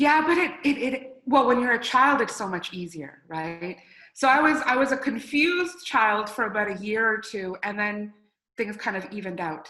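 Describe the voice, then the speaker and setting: A woman with a Canadian accent speaks at a moderate pace. Her fairly high voice swings very widely in pitch. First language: Spanish. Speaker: international sports event organizer. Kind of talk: interview.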